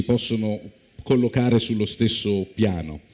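Against a quiet background, the speaker's pitch varies in an ordinary way. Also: man. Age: young. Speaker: biblical studies professor. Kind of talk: lecture. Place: stage. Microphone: lapel.

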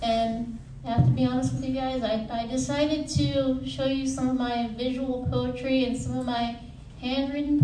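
A woman at a moderate pace, with light background noise and audible room echo. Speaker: poet and student; poet. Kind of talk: poetry reading. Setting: stage with audience. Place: hall. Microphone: camera far.

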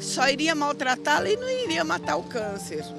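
A woman's voice with very wide pitch swings, dry with no echo, over clear background music. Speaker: patient's wife. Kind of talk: interview answer. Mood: worried, earnest. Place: street. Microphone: handheld.

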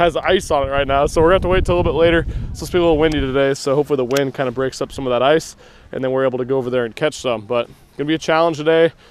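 A man rattles along at a very fast pace with light background noise behind him. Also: ordinary pitch variation, dry sound with no echo. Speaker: angler vlogger. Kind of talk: casual vlog chat. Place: boat. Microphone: helmet.

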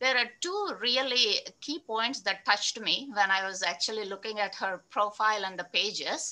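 A woman speaks in a fairly high pitch. Her pitch varies in an ordinary way. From Andhra Pradesh, Krishna district village near Vijayawada; Andhra Pradesh. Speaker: interview moderator. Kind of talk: interview. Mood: warm, cheerful. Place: home room. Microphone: earbuds.

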